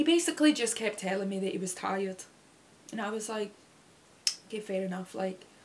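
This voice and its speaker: A woman with a British accent speaks at a fairly quick pace and a medium pitch, with lively intonation. Long, frequent pauses break up her speech against noticeable background noise. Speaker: YouTuber. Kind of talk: casual chat. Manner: halting.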